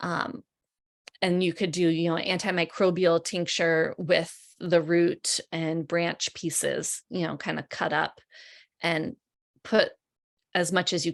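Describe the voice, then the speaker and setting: A woman speaks in an ordinary speaking voice at a fairly slow pace, her fairly low pitch and fairly even intonation captured in a dry, close sound with no echo. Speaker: herbalist and educator. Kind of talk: webinar presentation.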